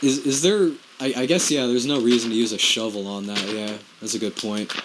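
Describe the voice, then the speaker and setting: Medium-pitched man at a fairly quick pace with ordinary pitch variation, over noticeable background noise. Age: 20s. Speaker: gaming video creator. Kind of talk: casual gameplay commentary. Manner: halting, many repeated words.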